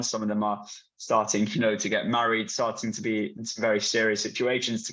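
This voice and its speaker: With a British accent, a man talks at a fairly quick pace in a monotone, flat intonation. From UK. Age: 20s. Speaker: patient advocate with Duchenne. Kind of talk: panel discussion. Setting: video call.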